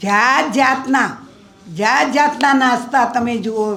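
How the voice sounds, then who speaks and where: A woman with ordinary pitch variation, amid noticeable background noise and audible room echo. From Gujarat, Ahmedabad. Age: 80s+. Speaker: social worker. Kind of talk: speech.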